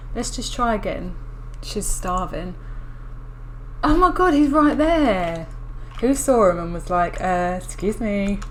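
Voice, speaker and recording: Mumbling at a fairly slow pace with a fairly high pitch, a woman swings her pitch very widely and leaves long, frequent pauses, with audible echo in the room. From England. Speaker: gaming youtuber. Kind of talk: gameplay commentary. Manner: hesitant.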